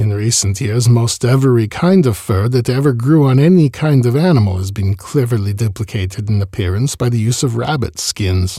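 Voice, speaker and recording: The man has a medium pitch, a dark, mellow tone and a somewhat breathy voice with lively intonation. He keeps a moderate pace on a very clean recording with a silent background. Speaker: podcast host reading an oral history. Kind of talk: reading aloud a 1939 interview transcript in the first person of an elderly furrier.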